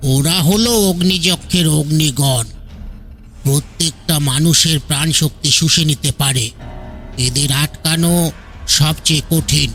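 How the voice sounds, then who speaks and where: A man's put-on character voice, fairly slow and very even in loudness, over clear music in the background. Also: fairly high pitch for a man, ordinary pitch variation. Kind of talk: horror audio story. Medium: read story. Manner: calm, steady.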